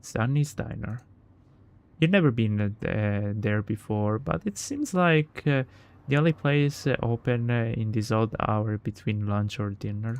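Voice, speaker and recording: The speech comes at a fairly slow pace with an Italian accent and ordinary pitch variation. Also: man. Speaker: gaming streamer. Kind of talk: reading aloud; casual chat. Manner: halting.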